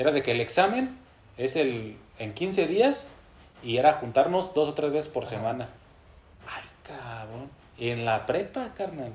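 A man with a fairly high pitch talks at a fairly slow pace, leaving long, frequent pauses. His intonation is lively and his loudness swings widely. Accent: Mexican. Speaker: podcast host. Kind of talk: casual chat.

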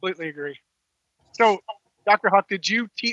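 A man's high-pitched, raised, projected voice, bright and sharp in tone, in a dry, close sound with no echo. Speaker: podcast co-host, athletic director. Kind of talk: casual podcast chat.

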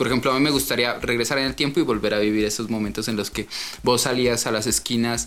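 A man's very fast delivery with fairly even intonation and vocal fry. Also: medium pitch for a man. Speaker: podcast co-host. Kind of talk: casual chat.

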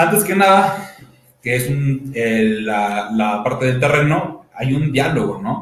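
Speaking at a very slow pace in a central Mexican accent, a man with a fairly high pitch makes very wide pitch swings amid audible room echo. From Toluca, Mexico. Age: 20s. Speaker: architect and university teacher. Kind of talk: panel talk presenting architecture practice. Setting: video stream, sharing one camera with partners.

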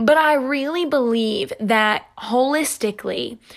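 The woman's pitch rises and falls in an ordinary way as she speaks. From US South, North Carolina. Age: 20s. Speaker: fitness podcaster. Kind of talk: solo podcast monologue.

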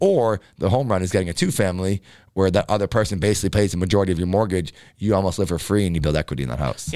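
Over a silent background in a very clean recording, a man rattles off lines in a raspy, put-on character voice, very deep and low, at a very fast pace. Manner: talking very fast, passionate; excited, enthusiastic.

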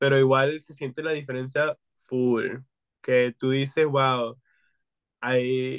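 A man with a Spanish accent speaks at a very slow pace, with long, frequent pauses. His intonation is monotone and flat, with big swings in loudness. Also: medium pitch for a man. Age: 20s. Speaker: podcast co-host. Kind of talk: casual chat. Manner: code-switching Spanish and English.

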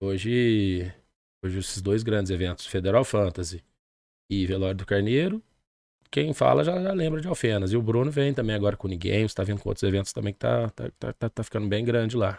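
A man with a normal speaking voice, fairly low pitch, lively intonation and a fairly quick pace, against a quiet background. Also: dry, close sound with no echo. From southern Minas Gerais, Brazil. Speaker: music event producer. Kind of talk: casual interview.

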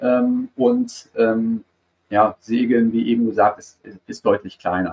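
Speaking at a very slow pace, a man shows big swings in loudness. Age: 40s. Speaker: sports marketing research executive. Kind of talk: interview. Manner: hesitant, many filler sounds.

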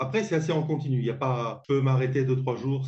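At a fairly quick pace, a man speaks at medium pitch in a somewhat breathy voice. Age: 60s. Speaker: author. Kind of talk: interview. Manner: halting.

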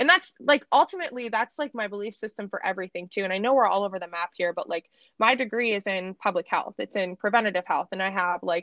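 A woman speaks fast at a medium pitch, with ordinary pitch variation and a fairly bright tone. The sound is dry and close, with no echo.

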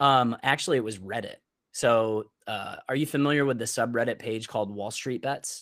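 With an American accent and a plain, everyday voice, a man speaks at a moderate pace and medium pitch with ordinary pitch variation, captured on a very clean recording against a silent background. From Upstate New York (Syracuse). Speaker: freelance photographer and content creator. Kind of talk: interview, casual conversation.

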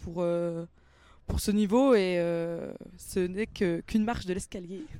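A woman talks at a fairly slow pace and medium pitch, with ordinary pitch variation and a plain, everyday voice. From Franche-Comté, Doubs (Mont-Benoît). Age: 20s. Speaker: rugby player and student. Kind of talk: interview. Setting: rugby stadium.

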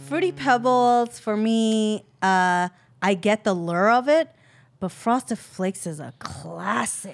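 At a very slow pace, a woman speaks at medium pitch with lively intonation on a very clean recording with a silent background. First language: not English. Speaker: comedian. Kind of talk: casual chat.

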